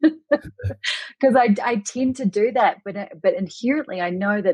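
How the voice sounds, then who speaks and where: A woman with a New Zealand accent and lively intonation. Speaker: Reiki master teacher. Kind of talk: podcast interview answer.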